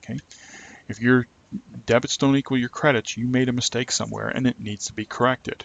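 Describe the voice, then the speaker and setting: Over noticeable background noise, a man at medium pitch talks at a very fast pace with fairly even intonation and long, frequent pauses. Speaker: accounting instructor. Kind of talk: lecture. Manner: monotone.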